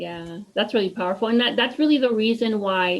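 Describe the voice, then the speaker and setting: A woman talks with a Spanish accent. Her pace is moderate. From US, partly raised in Mexico. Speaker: podcast host. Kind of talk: interview conversation.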